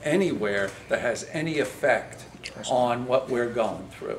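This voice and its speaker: A man's voice carries audible room echo. Noticeable background noise sits behind him. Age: 60s. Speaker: commercial fishing vessel owner. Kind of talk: public comment at meeting. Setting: public meeting with senators. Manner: halting, many fillers.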